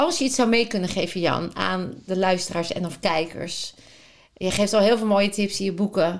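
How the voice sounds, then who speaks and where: At a moderate pace and medium pitch, a woman speaks in a very clean recording with a silent background. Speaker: podcast host. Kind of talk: in-depth interview. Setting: at guest's home. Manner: enthusiastic.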